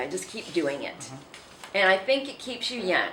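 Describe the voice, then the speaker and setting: There is noticeable background noise and audible room echo as a woman talks with lively intonation. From southern California. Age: 70s. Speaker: city mayor. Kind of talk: interview.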